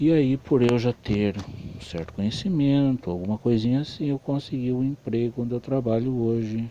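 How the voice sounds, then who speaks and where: Here a man speaks with a normal speaking voice at medium pitch. His pace is moderate and his pitch variation ordinary. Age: 40s. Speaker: electronics repairman. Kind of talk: personal life story monologue.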